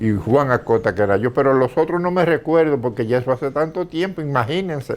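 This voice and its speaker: Music plays in the background as a man with a fairly high voice speaks with lively intonation. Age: 80s+. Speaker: retired volunteer firefighter. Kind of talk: interview reminiscence. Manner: halting.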